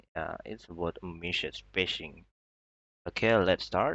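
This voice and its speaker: With an Indonesian accent, this man has a very deep, low voice and ordinary pitch variation. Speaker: student. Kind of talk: class presentation.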